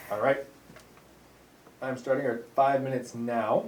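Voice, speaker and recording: A man talking at medium pitch is heard with audible room echo. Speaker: teacher, agenda keeper. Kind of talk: staff meeting roleplay. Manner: loud.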